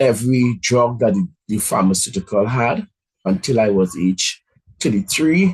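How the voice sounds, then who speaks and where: With lively intonation, a man talks at a moderate pace in a medium pitch. His voice is somewhat breathy. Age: 50s. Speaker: motivational speaker. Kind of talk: motivational talk.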